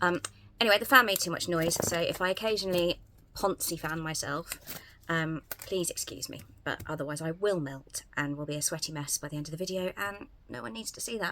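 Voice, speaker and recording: In a southern English accent, the voice moves at a fairly quick pace with a bright, sharp tone. Ordinary pitch variation comes with big swings in loudness. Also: woman, fairly low pitch for a woman. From England, Southampton. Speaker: YouTuber. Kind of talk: casual vlog. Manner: hesitant, many fillers.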